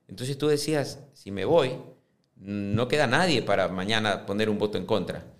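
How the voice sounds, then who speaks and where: The voice moves at a moderate pace with lively intonation, and audible room echo surrounds it. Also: man, fairly low pitch for a man. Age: 50s. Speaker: businessman and football club presidential candidate. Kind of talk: interview. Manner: halting, frequent fillers and repetitions.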